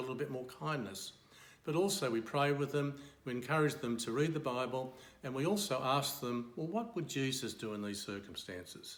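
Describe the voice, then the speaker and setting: Speaking at a fairly quick pace with lively intonation, a man with an Australian accent is heard with audible room echo. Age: 70s. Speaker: retired accountant and church member. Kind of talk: testimony.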